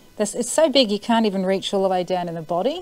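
Her tone dark and mellow, a woman speaks with ordinary pitch variation. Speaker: vlogger cleaning fish. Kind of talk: casual vlog chat. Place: street. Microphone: lapel.

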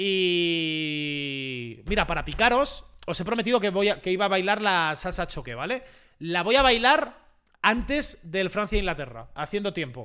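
A man's raised, projected voice with a Spanish accent, high-pitched for a man, with very wide pitch swings, an animated, bright, sharp tone, a moderate pace and a quiet background. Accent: Spain Spanish (peninsular). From Spain. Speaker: YouTuber / football streamer; YouTuber, football streamer. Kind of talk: live match reaction to chat. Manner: animated, excitable. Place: home room. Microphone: studio mic.

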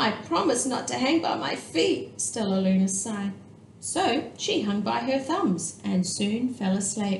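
Someone reads plainly aloud, the pitch varying in an ordinary way.

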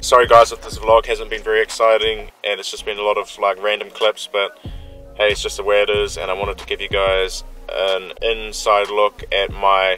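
Faint music plays behind moderately paced speech that is dry and echo-free, with big swings in loudness. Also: man. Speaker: vlogger. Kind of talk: casual vlog chat. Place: car. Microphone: phone near.

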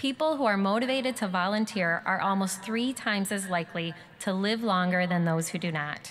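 A woman talks fairly fast with a normal pitch range, a little background noise behind her. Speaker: speaker. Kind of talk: ceremonial speech. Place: hall. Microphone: podium.

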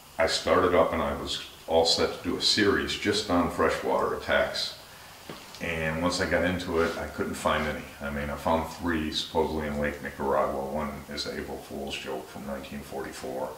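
Through light background noise and audible room echo, a man with a very deep, low pitch talks at a moderate pace with fairly even intonation. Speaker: shark channel host. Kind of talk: casual vlog chat. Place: home room.

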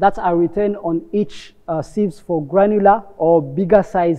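This man's voice sits high in pitch. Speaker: lab technician instructor. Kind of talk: tutorial. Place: workshop.

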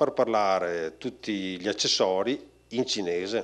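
Over a quiet background, a man speaks at a fairly slow pace with ordinary pitch variation. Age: 40s. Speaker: company creative director; speaker. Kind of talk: conference talk. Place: hall. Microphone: handheld.

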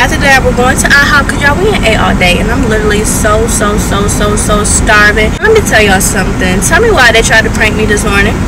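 Very fast speech with hardly any pauses and ordinary pitch variation, dry with no echo, over loud background noise. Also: woman. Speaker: vlogger. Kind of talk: casual vlog chat. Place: car. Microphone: phone near.

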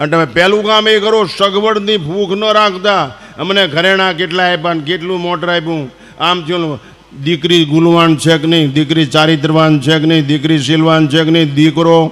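Noticeable background noise accompanies a man whose voice sits at a high pitch. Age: 70s. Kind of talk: religious discourse. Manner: animated.

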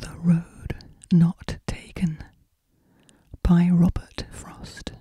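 Whispering from a woman, at a very slow pace. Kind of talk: poetry reading. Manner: soft-spoken.

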